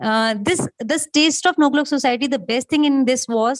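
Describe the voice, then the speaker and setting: Her intonation lively, a woman is heard in a dry, close recording with no echo. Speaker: police superintendent and former doctor. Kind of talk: award acceptance speech. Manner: fast; halting with fillers.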